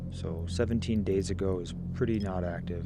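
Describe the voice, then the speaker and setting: A soft-spoken man with a very deep, low pitch, a relaxed tone, ordinary pitch variation and audible room echo. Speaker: gaming commentator. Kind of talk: gameplay commentary.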